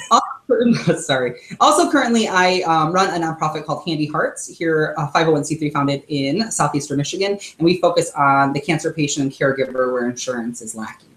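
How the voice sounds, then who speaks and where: This man has an ordinary speaking voice, fairly high in pitch, with ordinary pitch variation and a fairly quick pace with hardly any pauses. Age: 30s. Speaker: former disaster relief volunteer. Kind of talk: casual chat.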